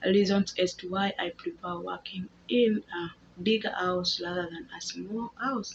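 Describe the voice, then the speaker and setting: A woman speaks at a medium pitch. Noticeable background noise runs behind her. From Kenya. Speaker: housemaid and vlogger. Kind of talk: casual vlog talk to camera. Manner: halting with repetitions.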